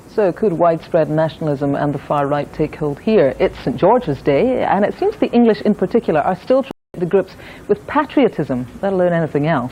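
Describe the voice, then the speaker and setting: Speaking at a fairly quick pace with hardly any pauses, a woman with a Scottish accent uses a fairly low, dark, mellow voice with very wide pitch swings. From Scotland. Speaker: news presenter. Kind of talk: news presenting.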